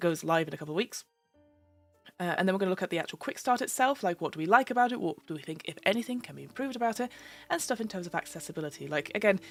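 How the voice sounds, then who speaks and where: A woman talks at a very fast pace with lively intonation and big swings in loudness. Music plays in the background. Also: medium pitch for a woman. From London. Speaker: voice-over artist, gamemaster, podcast host. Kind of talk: casual live-stream talk about tabletop games. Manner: chatty, informal, with many fillers.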